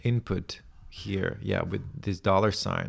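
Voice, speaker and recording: A man with a non-native accent speaks at a very slow pace in a very clean recording with a silent background. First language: not English. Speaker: tech tutorial creator. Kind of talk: screen-share tutorial, thinking aloud. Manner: halting, many restarts and fillers.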